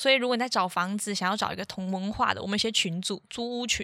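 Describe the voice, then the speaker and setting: A woman speaks very fast at a medium pitch, her tone bright and sharp with ordinary pitch variation. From Taiwan. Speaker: podcast co-host, student. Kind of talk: casual chat.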